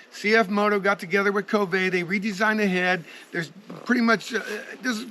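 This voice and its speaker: Raising and projecting his voice over noticeable background noise, a man with a high pitch speaks at a fairly quick pace. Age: 60s. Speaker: motorcycle reviewer and rider. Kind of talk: casual video review.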